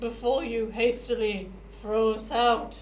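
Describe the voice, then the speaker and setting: A put-on character voice is pitched fairly high. Clear background noise runs underneath. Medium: actual play.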